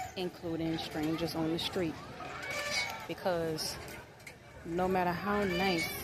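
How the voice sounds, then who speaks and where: Very slow speech with crowd noise in the background. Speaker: parenting vlogger. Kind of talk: casual vlog monologue. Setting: outdoors at a children's park.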